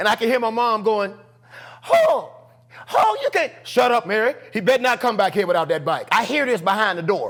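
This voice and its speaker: Over noticeable background noise, a man with a high pitch talks at a moderate pace in an animated tone with lively intonation. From US South, Charlotte, North Carolina. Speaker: comedian. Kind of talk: storytelling in casual interview. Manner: animated, acts out voices.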